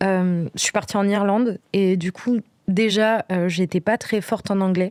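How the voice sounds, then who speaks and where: A dry, close woman's voice with no echo, medium in pitch, with fairly even intonation, very even loudness and a fairly slow pace. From Brittany, France. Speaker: podcast guest. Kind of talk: casual interview. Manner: hesitant, many fillers.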